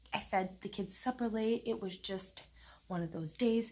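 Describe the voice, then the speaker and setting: The woman is soft-spoken. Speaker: vlogger. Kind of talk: casual chat.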